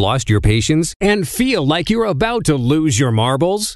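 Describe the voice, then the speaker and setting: Upbeat in tone, a man talks at a fairly slow pace with a high pitch and very wide pitch swings. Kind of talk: infomercial spoof read. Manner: upbeat, salesy.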